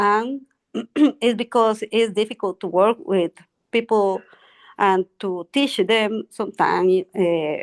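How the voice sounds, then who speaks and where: A woman with a Spanish accent speaks very slowly with long, frequent pauses, in a dry, close sound with no echo against a quiet background. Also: medium pitch for a woman, ordinary pitch variation. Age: 60s. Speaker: English learner. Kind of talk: language class conversation. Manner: halting.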